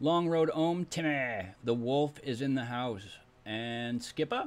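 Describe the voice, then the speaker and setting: A male speaker with ordinary pitch variation. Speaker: stream host. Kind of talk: casual live stream chat. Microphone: video call.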